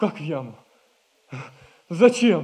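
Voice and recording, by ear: A man in a put-on character voice talks slowly with big pitch swings, his slightly mellow tone carrying a slightly husky edge. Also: fairly high pitch for a man.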